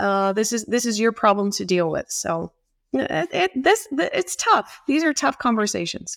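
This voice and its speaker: In a Southwestern US accent, a woman with a fairly high pitch and lively intonation talks at a moderate pace, the very clean recording dry and close with no echo and a silent background. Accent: US Southwest American. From Arizona (Tempe). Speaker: water policy center director. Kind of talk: interview. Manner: hesitant, many fillers.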